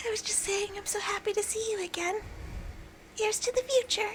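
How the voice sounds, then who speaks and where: A squeaky put-on character voice with a warm tone and fairly even intonation moves at a fairly quick pace over clear background noise. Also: woman, extremely high pitch for a woman. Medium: game stream. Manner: soft, warm.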